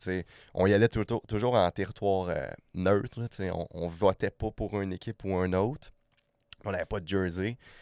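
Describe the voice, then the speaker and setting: Fairly low-pitched and fairly even in intonation, a man speaks in a very clean recording with a silent background. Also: moderate pace. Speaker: podcast guest, hockey traveler. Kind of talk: casual interview chat.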